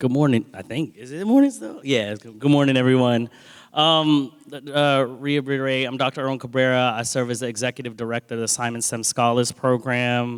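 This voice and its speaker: A man with an ordinary speaking voice and an American accent talks fairly quickly at a medium pitch, his intonation fairly even but his loudness swinging widely. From US, Washington DC area. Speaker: scholarship program director. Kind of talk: panel talk.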